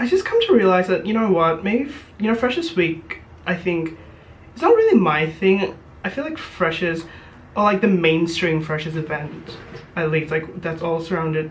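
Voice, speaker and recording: Noticeable background noise underlies talking at a moderate speed. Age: 20s. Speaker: YouTuber and university student. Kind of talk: casual chat. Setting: student room. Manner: animated; hesitant.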